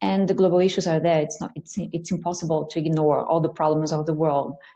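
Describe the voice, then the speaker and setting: A woman speaks at a very fast pace. Her pitch is fairly low and her intonation fairly even. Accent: Portuguese. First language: Portuguese. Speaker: English teacher. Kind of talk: panel discussion. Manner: halting, repeats words.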